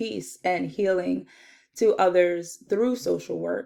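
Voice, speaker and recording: A woman's fairly low voice in a New Jersey accent, fairly slow, on a very clean recording with a silent background. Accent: New Jersey American English. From US Northeast, South Jersey. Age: 20s. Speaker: social work student. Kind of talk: self-introduction video.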